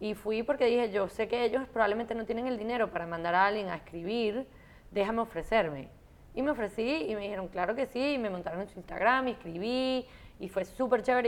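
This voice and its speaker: A woman talks in an ordinary speaking voice at medium pitch. Her pace is fairly quick, with ordinary pitch variation. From Venezuela. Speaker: fashion writer and content creator. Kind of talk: casual interview. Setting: at home.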